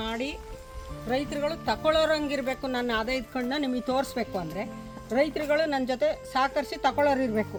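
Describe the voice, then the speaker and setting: Backed by music, a woman speaks at a high pitch with ordinary pitch variation. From Karnataka, Mysuru district. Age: 70s. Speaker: farmer and seed conservationist. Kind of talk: interview answer.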